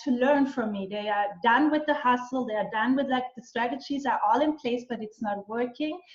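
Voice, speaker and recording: Her pace is moderate and her intonation fairly even. The woman's pitch is fairly high. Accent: Austrian. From western Austria. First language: German. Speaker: business and mindset mentor. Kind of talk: interview. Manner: halting, many fillers and restarts.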